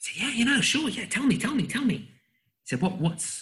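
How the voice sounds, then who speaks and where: A man with an American accent speaks in a calm tone with vocal fry. His pitch swings very widely. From England. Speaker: communication trainer. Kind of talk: interview.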